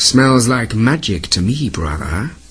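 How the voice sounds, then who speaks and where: A man uses a put-on character voice at a medium pitch and a fairly slow pace. Light background noise can be heard. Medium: read story. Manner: imperious.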